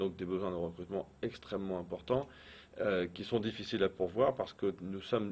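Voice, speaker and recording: A man with a fairly low pitch speaks at a fairly quick pace in an ordinary speaking voice, his pitch varying in an ordinary way. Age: 40s. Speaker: business owner. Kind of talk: interview.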